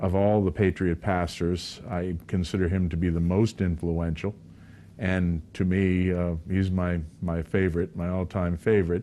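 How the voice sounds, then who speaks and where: In an American accent, a man with a very deep, low pitch and a dark, mellow tone delivers his words in a flat monotone. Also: moderate pace. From New England (Lexington, Massachusetts). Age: 60s. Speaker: pastor. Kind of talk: interview.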